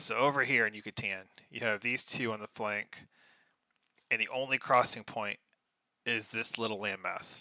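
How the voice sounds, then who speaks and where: A soft-spoken man with a medium pitch and a bright, sharp tone talks at a moderate pace with long, frequent pauses, in a dry, close sound with no echo on a very clean recording with a silent background. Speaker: game commentator. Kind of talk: casual live commentary. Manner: animated.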